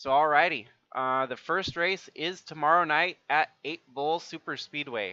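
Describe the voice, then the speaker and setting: Recorded dry and close with no echo and a quiet background, a man speaks at a fairly slow pace. His fairly high voice has a bright, sharp tone. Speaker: sim racing streamer and commentator. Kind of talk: live stream wrap-up commentary. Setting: live stream. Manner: monotone.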